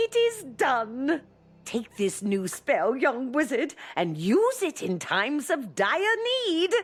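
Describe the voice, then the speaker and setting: A woman's high-pitched, put-on character voice with very wide pitch swings at a fairly slow pace. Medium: video game. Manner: grand, ceremonial.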